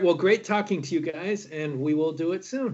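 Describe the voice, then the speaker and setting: With an American accent, a man is talking. His pace is moderate. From United States. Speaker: horror film director and producer. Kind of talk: casual interview. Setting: video call.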